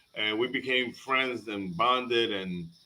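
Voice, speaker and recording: Lively intonation carries this man's speech in a Spanish accent. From Panama. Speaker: comedian. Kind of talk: casual chat. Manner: halting, many fillers and repeated words.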